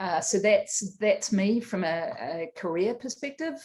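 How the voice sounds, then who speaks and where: A somewhat breathy woman with a New Zealand accent and a fairly high pitch. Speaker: tech executive, panelist. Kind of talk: panel discussion. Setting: online video event.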